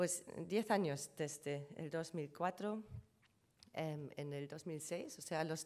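With a German accent, a woman is speaking. Her pitch is fairly low. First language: German (speaking Spanish). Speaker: conference panelist on trademark law; conference presenter. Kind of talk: conference presentation; lecture. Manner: hesitant, many fillers. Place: hall. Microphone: podium.

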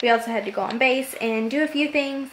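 A woman with a high-pitched voice talks at a fairly quick pace. There is light background noise. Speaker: vlogger. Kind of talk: casual vlog chat. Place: kitchen. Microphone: phone near.

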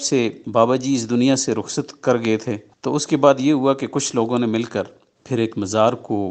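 A man speaks at a moderate pace with fairly even intonation in an unremarkable speaking voice. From Pakistan, Mansehra district. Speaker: government official and radio broadcaster. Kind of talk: interview.

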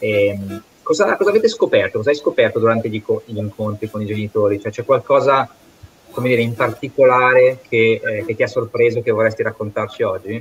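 Light background noise sits under a man talking at a fairly quick pace. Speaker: foundation project manager and webinar moderator; host or moderator of online panel. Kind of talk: webinar moderation. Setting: online webinar. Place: home room. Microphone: connected by mobile phone; video call.

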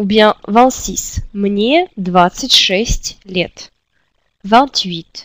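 At a very slow pace, a woman speaks at a medium pitch in a dry, close sound with no echo. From Russia, Siberia. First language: Russian (speaking French). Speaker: language teacher. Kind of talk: tutorial. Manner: slow, repetitive drilling.

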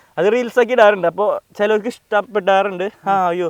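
The man's voice is high-pitched, with fairly even intonation. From Kerala, Thrissur (Anthikad). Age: 20s. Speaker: street photographer. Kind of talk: interview.

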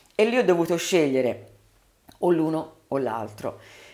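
Lively intonation marks the woman's speech. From Tuscany, Prato area (Carmignanello); Tuscany. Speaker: politician, mayoral candidate; politician, candidate. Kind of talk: interview. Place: studio. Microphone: studio mic.

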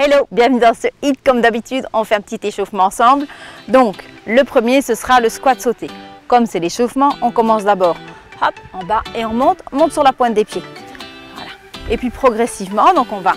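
Faint music plays behind a woman speaking at a fairly quick pace. The sound is dry with no echo. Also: ordinary pitch variation. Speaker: fitness coach. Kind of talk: tutorial. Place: garden.

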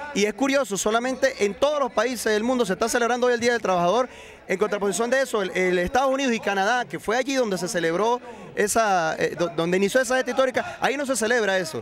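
A man talks very fast in an extremely high pitch, with ordinary pitch variation. The sound is dry with no echo, and light background noise is present. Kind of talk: interview answer. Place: street. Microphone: handheld.

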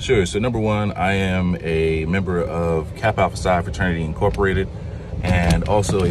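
Over noticeable background noise, a man with a very deep, low voice speaks at a moderate pace with ordinary pitch variation, in a dry sound with no echo. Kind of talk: interview answer. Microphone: phone near.

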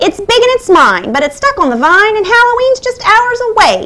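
Putting on a character voice, a woman speaks at a moderate pace with an extremely high pitch. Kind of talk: bedtime story. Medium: read story. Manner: irritated, possessive, impatient.

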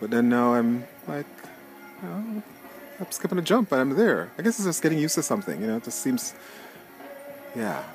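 Over faint background music, a man talks at a fairly quick pace in a dry sound with no echo. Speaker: guest. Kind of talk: casual vlog chat. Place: open country. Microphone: phone near.

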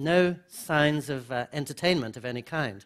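A man speaks at a fairly slow pace with ordinary pitch variation against a quiet background. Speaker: speaker. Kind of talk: lecture. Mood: warm, humorous. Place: hall. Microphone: headset.

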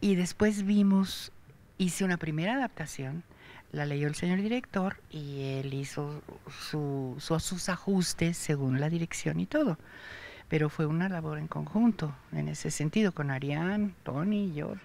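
A woman's very deep, low pitch with a dark, mellow tone, ordinary pitch variation, and dry sound with no echo. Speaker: actress. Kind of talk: interview answer. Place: stage. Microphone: handheld.

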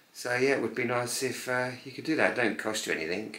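A man's fairly even intonation comes through with audible room echo. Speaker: home vlogger. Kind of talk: casual vlog chat. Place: home room. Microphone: camera far.

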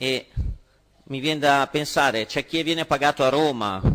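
A man's speech moves at a moderate pace, its pitch varying in an ordinary way. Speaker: opposition regional councillor. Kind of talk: parliamentary question time speech. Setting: regional council chamber. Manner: formal, accusatory. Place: hall. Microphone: podium.

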